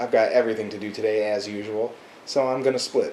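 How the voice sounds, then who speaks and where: Speaking at a very fast pace, a man keeps his intonation fairly even. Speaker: pro wrestler. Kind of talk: wrestling promo monologue to camera. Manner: smug, boastful, self-assured.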